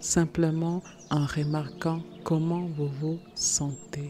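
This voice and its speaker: A woman's very deep, low voice in a soothing tone, monotone and flat at a very slow pace. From Germany-based. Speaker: meditation guide, personal transformation coach. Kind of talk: guided meditation. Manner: soothing, slow.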